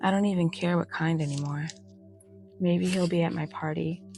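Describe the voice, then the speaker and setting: A soft-spoken woman with a very deep, low pitch, lively intonation and a moderate pace, with music in the background. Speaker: bedtime story reader. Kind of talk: bedtime story reading.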